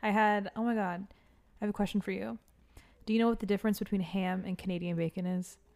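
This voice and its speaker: A woman with an American accent and medium pitch, very fast and animated, with long, frequent pauses, on a very clean recording with a silent background. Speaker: podcast co-host, restaurant server. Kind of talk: casual chat.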